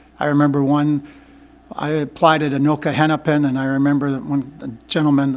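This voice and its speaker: A man with an Upper Midwest accent speaks at a fairly quick pace. His fairly high voice is monotone and flat. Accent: Upper Midwest American. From Minnesota (Minneapolis). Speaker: school board candidate, retired teacher. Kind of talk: interview. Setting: meeting room with microphone. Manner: halting.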